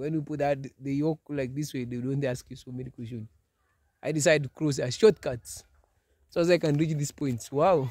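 The speaker has a Kenyan accent and talks at a fairly quick pace. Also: man, fairly high pitch for a man. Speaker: vlogger. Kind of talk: casual vlog. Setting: outdoors. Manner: animated, excitable.

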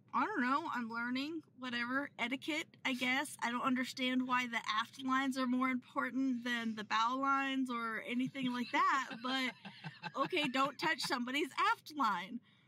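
A woman uses a raised, projected voice at a moderate pace with fairly even intonation, in a dry sound with no echo and light background noise. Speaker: sailing vlogger. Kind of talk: casual vlog chat. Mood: amused, chatty. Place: car. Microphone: phone near.

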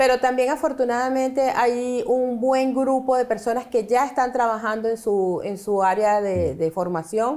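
In a high pitch and a dark, mellow tone, a woman talks at a fairly slow pace with hardly any pauses. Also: ordinary pitch variation. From Venezuela, Caracas. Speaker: immigrant business owner; guest. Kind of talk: interview. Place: studio.

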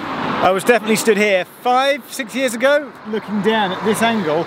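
A man at a moderate pace, dry sound with no echo, noticeable background noise behind him. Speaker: travel vlogger. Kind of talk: casual vlog commentary. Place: street. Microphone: phone near.

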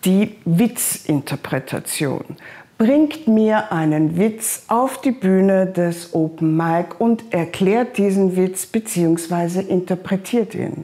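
A woman speaks slowly, with few pauses, in a dark, mellow tone at a fairly low pitch. Her pitch varies in an ordinary way.

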